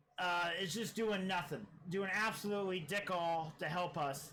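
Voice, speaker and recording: A raised, projected voice carries an American accent. Room echo is clearly audible. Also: man. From US Midwest, small-town Iowa. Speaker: streamer. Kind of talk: casual political livestream commentary. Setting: live stream. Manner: halting, many fillers and repeated words.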